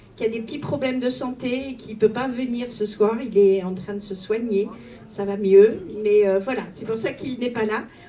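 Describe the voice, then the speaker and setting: Amid noticeable background noise and audible room echo, a woman with fairly high pitch speaks in fairly even intonation while her loudness swings widely. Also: moderate pace. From Italy. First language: Italian (speaking French). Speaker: mayor. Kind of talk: public speech.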